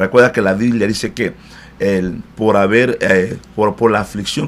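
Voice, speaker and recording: A man speaks at a fairly low pitch over noticeable background noise. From Democratic Republic of the Congo. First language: not Spanish (learned in Cuba) (speaking Spanish). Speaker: pastor. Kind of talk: interview. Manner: halting, many fillers.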